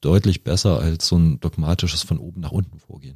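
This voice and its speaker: A dark, mellow tone with fairly even intonation, dry and close with no echo. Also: man. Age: 40s. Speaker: software company founder and managing director. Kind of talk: interview. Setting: studio.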